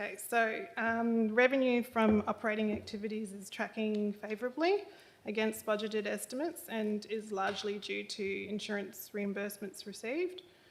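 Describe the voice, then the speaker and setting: A soft-spoken woman with an Australian accent talks at a moderate pace, her fairly high voice showing ordinary pitch variation and hardly any pauses. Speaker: council finance manager. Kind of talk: report presentation. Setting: council chamber meeting. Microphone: too far from the microphone.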